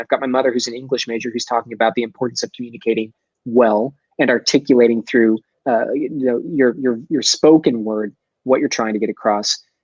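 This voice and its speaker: Talking very fast in an animated tone, a man with a slight Texas accent keeps a medium pitch. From Texas, Dallas. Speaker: sales expert and entrepreneur. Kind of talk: podcast interview. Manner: articulate, animated.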